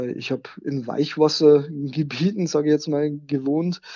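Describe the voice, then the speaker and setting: Here a man talks at a fairly slow pace in a monotone, flat intonation. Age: 40s. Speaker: software developer and aquarium hobbyist, website operator. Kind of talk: interview. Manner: hesitant, many filler sounds.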